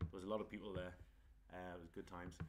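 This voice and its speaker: A man's voice, bright and sharp in tone. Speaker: pro wrestler doing a watchalong stream. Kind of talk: casual live-stream commentary. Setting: live stream. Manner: quiet at first, then louder.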